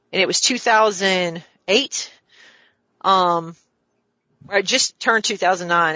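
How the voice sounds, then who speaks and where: Her intonation fairly even, a woman speaks in a plain, everyday voice at a medium pitch. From US South. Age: 50s. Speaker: real estate developer. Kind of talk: casual interview.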